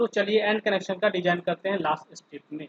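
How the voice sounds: A man's high-pitched voice at a fast pace, with ordinary pitch variation and a dry, close sound free of echo.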